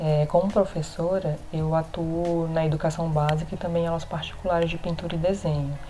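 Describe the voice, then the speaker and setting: A woman speaks at a fairly quick pace with hardly any pauses and a fairly low pitch. Her intonation is monotone and flat, with noticeable background noise. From Brazil, Rondônia (Porto Velho). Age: 20s. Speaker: visual artist and teacher. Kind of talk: recorded testimony.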